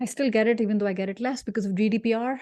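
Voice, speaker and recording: A woman speaks with a fairly high pitch and a dark, mellow tone. The background is quiet. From India. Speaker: career strategist and speaker. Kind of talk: workshop talk. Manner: animated.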